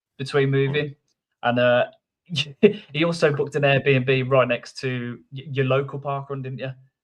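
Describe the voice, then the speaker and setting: Speaking in a Birmingham accent, a man with a fairly high pitch talks at a moderate pace in a monotone, flat way, with long, frequent pauses. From Birmingham, England. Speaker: podcast co-host and runner. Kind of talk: casual chat. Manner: halting, many false starts.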